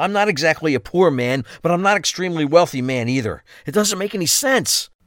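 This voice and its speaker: Its pitch swings very widely while the delivery holds a moderate tempo. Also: man. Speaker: voice actor playing Bruce. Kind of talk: scripted dramatic dialogue.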